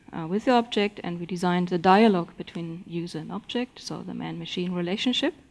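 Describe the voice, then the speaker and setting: This woman talks at a very fast pace with hardly any pauses, fairly low pitch, ordinary pitch variation and big swings in loudness. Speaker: design professor. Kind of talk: conference talk. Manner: halting, many fillers.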